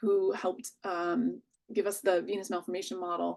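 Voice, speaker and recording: Using a normal speaking voice, a woman delivers her words at a moderate pace. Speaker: physician-scientist, researcher. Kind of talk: conference presentation and Q&A.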